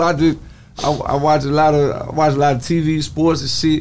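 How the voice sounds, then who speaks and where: This man speaks with a Southern US accent. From Texas. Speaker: rapper. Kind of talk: casual chat. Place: shop. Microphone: studio mic.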